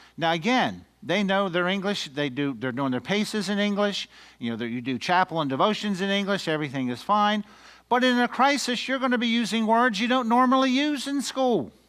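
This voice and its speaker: Talking at a fairly quick pace with an American accent, a man uses a high pitch and very wide pitch swings. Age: 60s. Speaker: educator workshop trainer. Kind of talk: lecture. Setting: room with audience.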